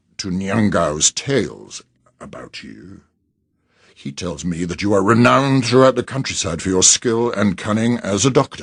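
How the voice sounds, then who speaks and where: In a put-on character voice, a man growls at a moderate pace with a fairly low pitch. The background is quiet. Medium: read story. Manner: growling, imperious.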